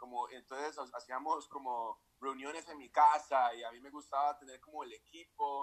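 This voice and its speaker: A man's fairly high-pitched voice. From Costa Rica, Escazú, San José. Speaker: entrepreneur. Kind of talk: interview.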